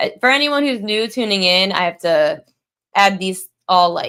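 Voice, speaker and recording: A woman mumbles in a bright, sharp tone with lively intonation. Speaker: sports betting analyst. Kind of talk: casual betting tips livestream. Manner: mumbling; casual with fillers.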